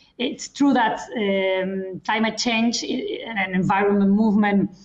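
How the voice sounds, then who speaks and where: Over noticeable background noise, a woman with a fairly high pitch speaks at a fairly slow pace with ordinary pitch variation. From Spain. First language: Spanish or Catalan. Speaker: lawyer. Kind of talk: panel discussion. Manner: formal.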